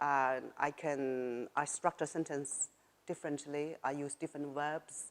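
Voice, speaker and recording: With a Chinese accent, a woman speaks in a very deep, low voice, flat and monotone, at a fairly slow pace on a very clean recording with a silent background. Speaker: writer and former journalist. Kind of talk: interview. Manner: halting.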